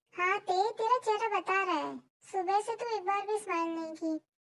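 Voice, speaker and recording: Squeaky and extremely high-pitched, a woman does a put-on character voice at a fairly quick pace with fairly even intonation. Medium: read story. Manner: playful and teasing.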